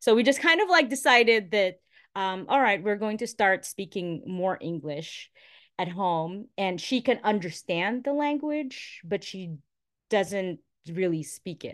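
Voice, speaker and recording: A woman with a Filipino accent, medium pitch, lively intonation and a fairly slow pace, over a quiet background. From Philippines, Metro Manila. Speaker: former radio and TV presenter, mother. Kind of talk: casual interview.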